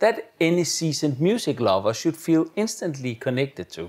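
The pitch swings very widely at a moderate pace. The background is quiet. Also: man. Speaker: AV product reviewer. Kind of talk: review commentary. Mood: enthusiastic, admiring. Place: home room. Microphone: lapel.

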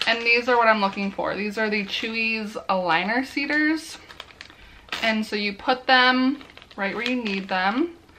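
At a fairly slow pace, a woman speaks with a fairly high pitch, a bright, sharp tone, and ordinary pitch variation.

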